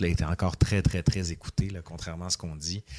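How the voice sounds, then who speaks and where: The recording is very clean, with a silent background. A man talks at a very fast pace in a very deep, low voice with fairly even intonation. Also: dry, close sound with no echo. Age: 40s. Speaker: history professor and YouTuber. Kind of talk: casual interview.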